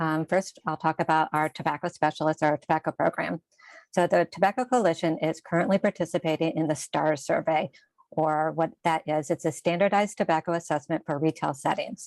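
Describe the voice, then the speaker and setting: Soft-spoken and fairly low in pitch, a woman talks at a fairly quick pace with ordinary pitch variation in a dry, close sound with no echo on a very clean recording with a silent background. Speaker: health department staff presenter. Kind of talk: meeting report.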